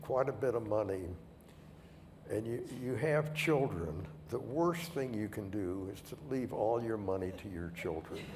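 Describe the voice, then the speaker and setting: A man with a medium pitch talks at a fairly slow pace with lively intonation and long, frequent pauses. Room echo and background noise are both noticeable. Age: 80s+. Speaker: retired company founder. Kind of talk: panel interview.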